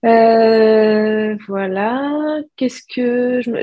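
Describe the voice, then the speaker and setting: A woman is speaking. Her voice sits fairly high. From southeastern France (Alpes-de-Haute-Provence). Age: 30s. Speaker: hand-dyed yarn maker. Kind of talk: interview. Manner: hesitant, many fillers.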